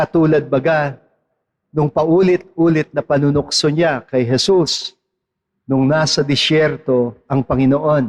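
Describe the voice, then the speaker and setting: Very slowly and with a fairly high pitch, a man talks in a dry, close sound with no echo. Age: 60s. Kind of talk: sermon.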